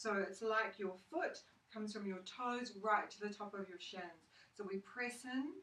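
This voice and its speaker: A woman speaks at a fairly slow pace with fairly even intonation and a medium pitch. Noticeable background noise runs behind her. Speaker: yoga teacher. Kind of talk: guided yoga class instruction. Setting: home studio recorded with a phone. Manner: calm, soothing, instructional.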